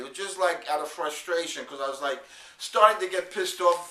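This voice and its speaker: A man's delivery is fairly quick. Noticeable background noise sits underneath it. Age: 50s. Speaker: video blogger, network marketer. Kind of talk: video diary. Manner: casual, halting with fillers.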